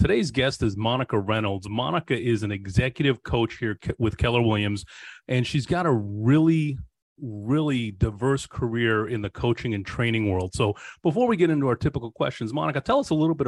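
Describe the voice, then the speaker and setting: Against a quiet background, a man with a normal speaking voice and a medium pitch talks at a fairly quick pace with lively intonation, in a dry, close sound with no echo. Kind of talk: interview.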